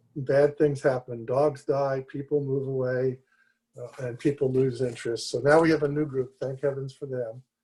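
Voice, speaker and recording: A man's somewhat breathy voice, medium in pitch, dark and mellow in tone, with monotone, flat intonation at a moderate pace. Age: 70s. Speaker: public commenter at city commission meeting. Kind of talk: public comment.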